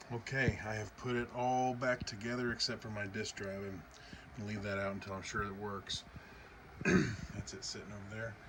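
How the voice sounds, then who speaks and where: A man's fairly low voice holds a fairly even intonation while noticeable noise runs in the background. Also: moderate pace. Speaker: retro computer hobbyist. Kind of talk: tutorial. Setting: at home late at night. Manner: soft-spoken.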